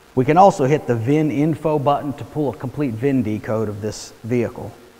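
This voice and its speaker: A man talks at a fairly quick pace. His pitch varies an ordinary amount. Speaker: product trainer. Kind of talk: tutorial. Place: garage. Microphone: lapel.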